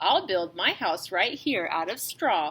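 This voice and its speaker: A woman's put-on character voice at a fairly slow pace. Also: medium pitch for a woman. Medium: read story.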